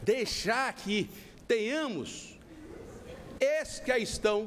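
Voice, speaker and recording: This man's voice sits at an extremely high pitch. Its pitch variation is ordinary. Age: 60s. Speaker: presidential candidate. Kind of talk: televised political debate. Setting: TV studio, live broadcast.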